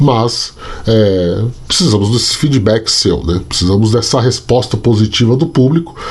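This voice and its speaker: A man with a medium pitch and ordinary pitch variation over noticeable background noise. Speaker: sports journalist and youtuber. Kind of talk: casual vlog commentary. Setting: home at night. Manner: soft-spoken, talking quietly.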